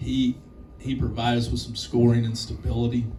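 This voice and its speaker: Over noticeable background noise and audible room echo, a man talks fairly quickly at a medium pitch in a monotone, flat intonation. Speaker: college basketball head coach. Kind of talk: post-game press conference.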